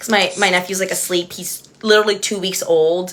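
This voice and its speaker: Speaking at a fairly quick pace with an American accent, the voice sounds animated against noticeable background noise. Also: woman. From Texas, Edinburg (Rio Grande Valley). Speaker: reality TV contestant and livestreamer. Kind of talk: casual chat. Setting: livestream with friend on video call.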